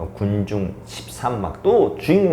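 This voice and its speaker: A man is speaking. His pitch swings very widely. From South Korea, North Gyeongsang. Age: 40s. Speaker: actor. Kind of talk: interview answer.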